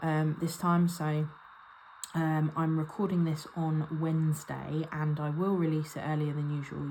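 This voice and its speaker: In an English accent, a woman speaks with a very deep, low pitch and fairly even intonation. Her pace is moderate, with noticeable background noise behind her. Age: 30s. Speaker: budgeting vlogger. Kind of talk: casual vlog talk to camera. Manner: casual with frequent ums.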